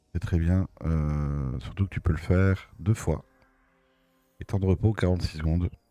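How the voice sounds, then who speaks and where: Over music in the background, a man speaks at a moderate pace in a very deep, low pitch. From Belgium. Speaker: gaming streamer. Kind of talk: gameplay commentary. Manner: casual, hesitant with many fillers. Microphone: new microphone.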